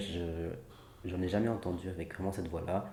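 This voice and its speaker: Somewhat breathy and dark, mellow in tone, a man talks in a very deep, low pitch with fairly even intonation and audible room echo. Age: 20s. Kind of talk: interview testimony.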